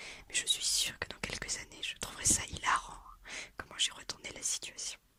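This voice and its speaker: A woman whispers with noticeable background noise around her. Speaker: ASMR content creator. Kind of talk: casual talk to camera. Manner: whispered, soft-spoken.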